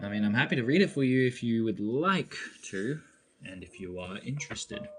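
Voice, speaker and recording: Music plays behind a man of medium pitch speaking at a fairly quick pace. His voice shows very wide pitch swings and big swings in loudness. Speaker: crystal collector streamer. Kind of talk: live stream show-and-tell.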